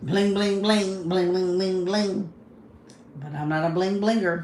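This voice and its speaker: In a room with audible echo, a woman with a fairly low voice speaks at a moderate pace. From Kentucky, US South. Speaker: livestreamer. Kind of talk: casual livestream chat.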